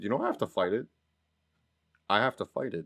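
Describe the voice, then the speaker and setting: Here a man speaks with an American accent. His pace is very fast. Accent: mild Boston accent he fights. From Massachusetts North Shore. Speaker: podcast co-host. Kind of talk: casual chat. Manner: animated.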